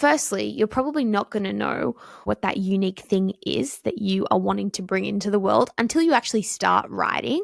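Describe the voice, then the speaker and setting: A woman talks at a fairly quick pace with hardly any pauses. The sound is dry and close with no echo, though background noise is noticeable. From Australia. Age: 20s. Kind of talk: casual talk to camera.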